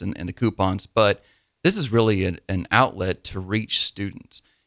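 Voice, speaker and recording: At a fairly quick pace, a man with a fairly low voice speaks with a Midwestern American accent. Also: dry, close sound with no echo, very clean recording, silent background. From Nebraska, small town. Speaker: small business owner. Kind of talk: radio interview. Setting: studio.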